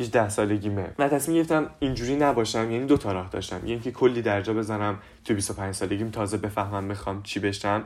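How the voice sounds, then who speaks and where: A man with a fairly low pitch and ordinary pitch variation, talking at a very fast pace with hardly any pauses. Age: young. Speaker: youth podcaster and theatre actor. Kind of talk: casual monologue.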